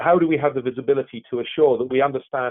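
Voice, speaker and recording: A man's fairly quick speech in a British accent. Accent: British accent, noticeable. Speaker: technology expert. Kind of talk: webinar presentation. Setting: online webinar. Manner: halting, many repetitions.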